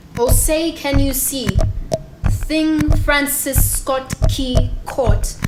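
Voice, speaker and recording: A woman's high voice with ordinary pitch variation, music playing behind her. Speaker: spoken word poet. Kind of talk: spoken word poetry performance.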